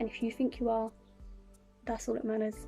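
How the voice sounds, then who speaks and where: Music sits in the background behind a woman's fairly high-pitched voice. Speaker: YouTuber / vlogger. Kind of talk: casual talk to camera, reading inspirational quotes. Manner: calm, soothing, gentle.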